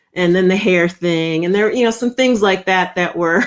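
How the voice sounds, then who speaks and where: At a fairly slow pace, a woman with a Minnesota accent speaks with ordinary pitch variation on a very clean recording with a silent background. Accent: Upper Midwest (Minnesota) American. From Minnesota (Rochester). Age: 50s. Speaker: leadership strategist and author. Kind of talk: interview conversation.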